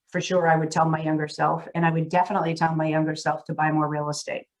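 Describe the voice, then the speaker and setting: A woman with a Massachusetts accent, fairly low in pitch, at a very fast pace. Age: 60s. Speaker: real estate CEO. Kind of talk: interview conversation.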